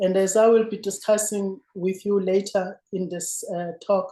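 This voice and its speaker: Speaking with a South African accent, a woman uses a medium pitch, a dark, mellow tone and monotone, flat intonation at a fairly slow pace. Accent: South African (Zulu). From South Africa, rural Zulu village. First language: isiZulu. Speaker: former politician and lecturer. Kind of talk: lecture. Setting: remote video link. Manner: formal.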